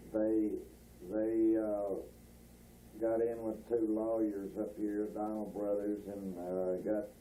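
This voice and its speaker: A man with an American accent speaks very slowly in a fairly low, dark and mellow voice, flat and monotone, leaving long, frequent pauses amid audible room echo. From North Texas (Bowie area). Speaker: rancher recalling family history. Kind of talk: oral history interview. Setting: at home. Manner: halting, many filler words.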